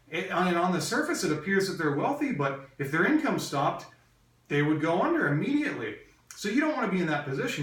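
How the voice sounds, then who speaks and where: A man talks at a very fast pace with ordinary pitch variation. Audible room echo surrounds his voice. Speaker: real estate investor and business coach. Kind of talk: training lecture. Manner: hesitant with frequent fillers.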